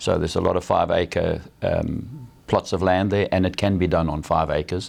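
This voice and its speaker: This man talks at a moderate pace. His loudness stays very even. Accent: South African. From South Africa, Durban. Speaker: shrimp farmer. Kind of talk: TV interview. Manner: hesitant, with fillers.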